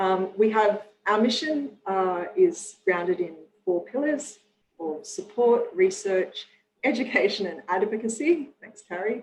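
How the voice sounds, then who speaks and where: The pitch swings very widely and the pace is fairly slow. Loudness rises and falls in big swings. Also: woman, fairly high pitch for a woman. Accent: Australian. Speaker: nonprofit president and webinar moderator. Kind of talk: webinar introduction. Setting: video call. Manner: hesitant, many fillers.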